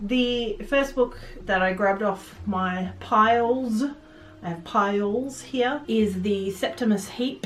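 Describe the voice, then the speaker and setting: A woman with an Australian accent talks in a space with audible room echo. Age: 30s. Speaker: book vlogger. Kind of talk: casual book review vlog. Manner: hesitant, many fillers.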